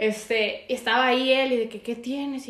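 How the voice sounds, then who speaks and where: This is a woman with a Mexican accent. Her pitch is high. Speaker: podcast co-host. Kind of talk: casual chat.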